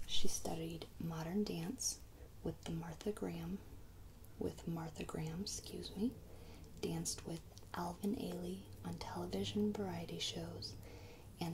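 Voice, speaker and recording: Over noticeable background noise, a soft-spoken voice with a gentle, calm tone moves at a fairly slow pace. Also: woman. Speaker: ASMR video creator. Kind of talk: reading a biography aloud. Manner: soft-spoken, gentle, calm.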